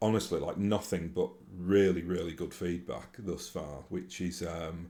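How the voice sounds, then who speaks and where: A man speaks in a strong Yorkshire accent with a very deep, low pitch. His pace is fairly slow and his intonation fairly even. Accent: broad Yorkshire. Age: 40s. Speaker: YouTuber and tabletop gaming podcaster. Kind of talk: casual vlog monologue. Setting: home recording to camera. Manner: hesitant, many fillers and restarts.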